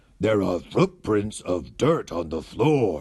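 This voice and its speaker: Using a put-on character voice, a man talks at a fairly low pitch and a very slow pace. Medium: read story.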